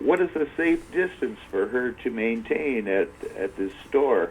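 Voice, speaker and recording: A man talks at a fairly slow speed with noticeable noise behind him. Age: 70s. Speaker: caller. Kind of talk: caller question. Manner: halting.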